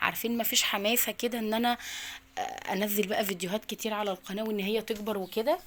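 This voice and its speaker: A woman with an Egyptian accent talks at a fairly quick pace. Her pitch variation is ordinary. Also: fairly high pitch for a woman. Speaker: lifestyle vlogger and mother. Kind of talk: casual daily-routine vlog.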